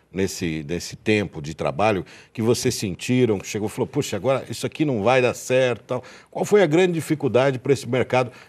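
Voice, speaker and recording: Very wide pitch swings mark this man's speech, which carries vocal fry. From Brazil. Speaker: TV show host about auctions; TV show host. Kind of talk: live TV interview. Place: studio. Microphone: lapel.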